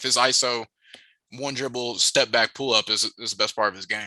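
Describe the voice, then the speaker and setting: A man's medium-pitched, bright, sharp voice at a fairly quick pace, fairly even intonation, and a quiet background. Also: dry, close sound with no echo. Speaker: basketball recruiting analyst. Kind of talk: interview.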